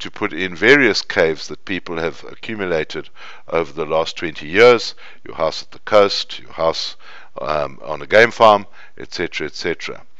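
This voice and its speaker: A plain, everyday voice is heard here. Its pace is moderate. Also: man. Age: 50s. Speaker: business school professor. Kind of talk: lecture.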